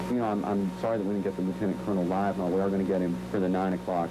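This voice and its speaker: A man speaks with a very deep, low pitch. Noticeable background noise and audible room echo are present. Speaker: TV field reporter. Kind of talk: live TV field report. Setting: live remote shot in hallway of a base club. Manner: loud.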